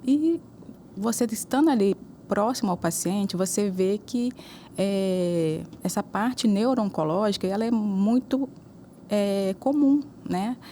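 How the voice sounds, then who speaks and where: A woman speaks at a very slow pace with a medium pitch, ordinary pitch variation, and long, frequent pauses. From Juiz de Fora, Minas Gerais, Brazil. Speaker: neuro-oncologist. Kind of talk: interview.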